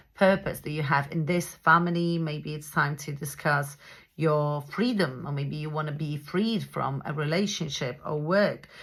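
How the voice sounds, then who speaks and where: A woman with a non-native accent speaks at a moderate pace in a very deep, low voice with fairly even intonation, on a very clean recording with a silent background. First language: not English. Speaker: astrologer. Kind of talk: astrology forecast monologue. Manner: hesitant, many fillers.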